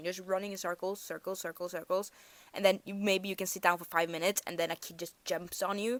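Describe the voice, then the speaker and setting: A woman with a Norwegian accent, in dry, close sound with no echo. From Norway. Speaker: storyteller vlogger. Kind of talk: storytime monologue. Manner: casual, halting with self-corrections.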